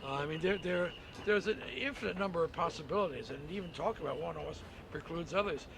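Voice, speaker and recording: Speaking fairly quickly in a high register with ordinary pitch variation, a man is heard against noticeable background noise. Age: 50s. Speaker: protester. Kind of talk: street interview. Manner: halting, many repetitions and fillers.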